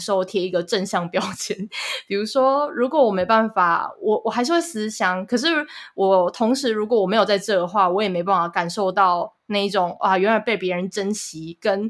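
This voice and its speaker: This woman has an unremarkable speaking voice pitched in the medium range. She talks at a moderate pace with ordinary pitch variation. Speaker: podcast producer and co-host, student abroad. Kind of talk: casual chat.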